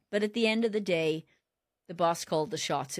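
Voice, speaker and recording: The recording is very clean, with a silent background. Someone speaks at a fairly quick pace in a Welsh accent. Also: woman. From South Wales. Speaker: automotive leadership consultant. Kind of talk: interview conversation. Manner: animated.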